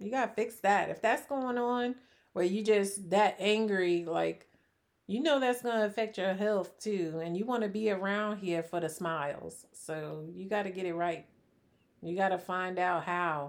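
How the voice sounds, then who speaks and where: Soft-spoken, a woman with a medium pitch talks at a fairly slow pace with ordinary pitch variation. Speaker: podcast co-host. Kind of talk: casual chat.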